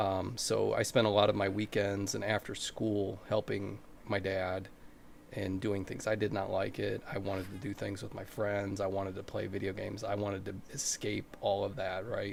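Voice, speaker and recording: A man with an American accent speaks at a moderate pace and a fairly low pitch. His intonation is monotone and flat, with vocal fry. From US Midwest, Ohio. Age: 40s. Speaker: Twitch streamer. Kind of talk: casual chat. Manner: hesitant, many fillers.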